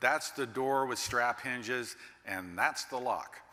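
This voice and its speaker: Noticeable background noise sits under a man with an American accent, speaking at medium pitch and a moderate pace. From Texas, Dallas. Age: 60s. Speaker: master builder and keynote speaker. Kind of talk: keynote speech.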